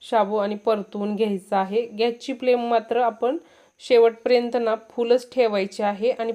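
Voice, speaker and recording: A woman's fairly high-pitched voice with monotone, flat intonation. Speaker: cooking channel host. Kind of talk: cooking tutorial.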